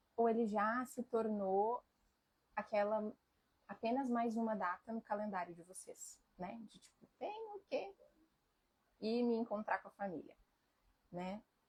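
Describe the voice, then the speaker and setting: Very slowly, a woman speaks in a fairly high, somewhat breathy voice. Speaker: family constellation therapist. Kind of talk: live stream talk. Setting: live stream. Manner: reflective, conversational.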